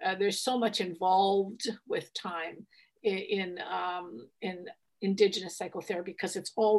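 A woman's normal speaking voice, medium in pitch, at a fairly slow pace with fairly even intonation over a quiet background. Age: 60s. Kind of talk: interview; guided meditation. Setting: video call.

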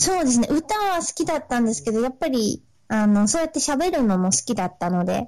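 Her high pitch swings very widely as this woman speaks at a fairly quick pace in a dark, mellow tone. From Sendai, Miyagi, Japan. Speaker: aspiring singer/performer. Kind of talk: casual interview chat. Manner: halting, many fillers.

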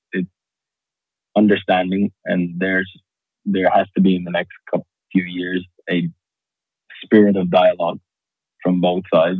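With a slight Irish accent, a man speaks in a very deep, low pitch with monotone, flat intonation and long, frequent pauses. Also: moderate pace. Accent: Irish-tinged English. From Qatar, raised partly in Dublin. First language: Arabic. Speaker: stand-up comedian and entrepreneur. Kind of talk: podcast interview.

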